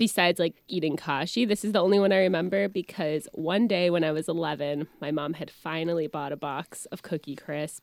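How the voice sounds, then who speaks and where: With hardly any pauses and a fairly quick pace, this is a plain, everyday voice with ordinary pitch variation, heard in a dry, close sound with no echo. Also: woman. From Orlando area, Florida. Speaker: comedian and actress. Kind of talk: casual chat.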